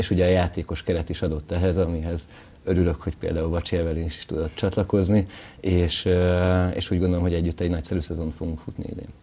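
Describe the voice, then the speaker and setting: A man speaks very fast in a very deep, low voice. His delivery is monotone and flat, and somewhat breathy. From Hungary. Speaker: volleyball head coach. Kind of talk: TV interview. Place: studio. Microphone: lapel.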